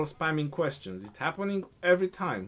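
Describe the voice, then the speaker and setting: A man with a non-native accent, his pitch fairly high and his pace fairly quick. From Romania. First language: Romanian. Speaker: gaming streamer. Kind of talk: casual livestream chat. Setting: live stream. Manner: halting.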